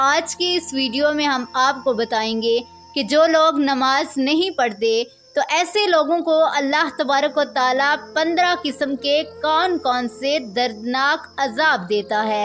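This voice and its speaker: A woman with a high pitch keeps very even loudness and ordinary pitch variation. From Pakistan. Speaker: voice over artist. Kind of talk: religious narration.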